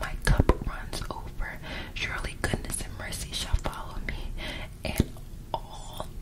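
A woman whispering at a fairly slow pace in a calm tone, over noticeable background noise. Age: 20s. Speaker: ASMR creator. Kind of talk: ASMR Bible reading. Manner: soft, calm, relaxing.

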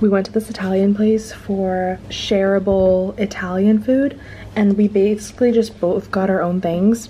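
Fairly even in intonation, a woman talks over light background noise. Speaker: travel vlogger. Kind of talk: casual vlog chat. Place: home room. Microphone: phone near.

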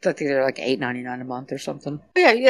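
The speaker is a woman with an American accent. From South Texas (San Antonio). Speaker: budget meal planner. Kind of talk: casual chat. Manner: animated.

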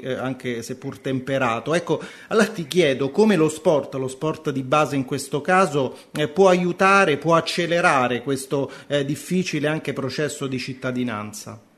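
Music plays in the background as a man speaks at a moderate pace. His pitch is fairly high, with ordinary variation. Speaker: radio host. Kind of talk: radio show. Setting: studio.

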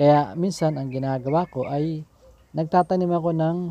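A man speaks in a normal speaking voice at a moderate pace. His pitch variation is ordinary, and the sound is dry with no echo. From Philippines. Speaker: gardening vlogger, overseas Filipino worker; home gardener vlogger. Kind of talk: casual tutorial vlog; casual vlog tutorial. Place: garden. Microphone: phone near.

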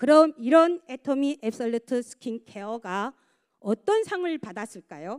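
Against a quiet background, a woman with a high pitch speaks at a fairly slow pace, her pitch swinging very widely. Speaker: product presenter at a sales seminar; presenter. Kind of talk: sales pitch. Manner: halting. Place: hall. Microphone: handheld.

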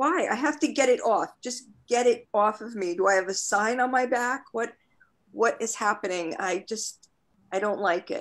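Over a quiet background, the speech moves at a moderate pace with ordinary pitch variation. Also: woman. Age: 50s. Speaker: MS patient. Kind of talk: casual chat. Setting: video call. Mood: frustrated, venting. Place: home room. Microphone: video call.

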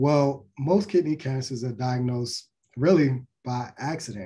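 Over a quiet background, a man with an American accent speaks fairly slowly at a medium pitch, his somewhat breathy voice dark and mellow in tone with fairly even intonation. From US Mid-Atlantic, Baltimore, Maryland. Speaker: physician. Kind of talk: lecture.

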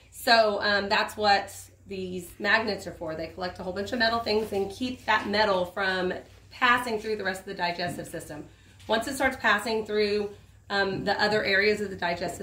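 Her bright, sharp tone carries fairly even intonation at a moderate pace, with audible room echo and light background noise around the woman. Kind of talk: tutorial. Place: open country. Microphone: camera far.

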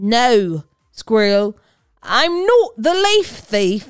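With faint music behind her, a woman puts on a character voice that is fairly high, clear and smooth in tone, swinging widely in pitch at a very slow pace.

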